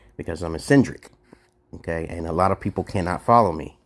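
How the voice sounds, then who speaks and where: Using a New York accent, a man talks with a very deep, low pitch and ordinary pitch variation. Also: very clean recording, silent background. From Brooklyn, New York. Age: 40s. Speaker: live streamer. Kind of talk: casual chat. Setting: livestream. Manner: fast.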